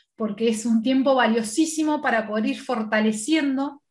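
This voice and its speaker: A high-pitched woman's voice moves at a fairly slow pace. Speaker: guest lecturer in human relations. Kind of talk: lecture.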